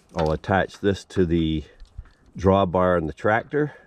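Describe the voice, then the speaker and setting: Over noticeable background noise, a man speaks with a very deep, low pitch at a fairly slow pace, with ordinary pitch variation and a dry sound with no echo. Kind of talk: tutorial. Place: forest. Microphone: phone near.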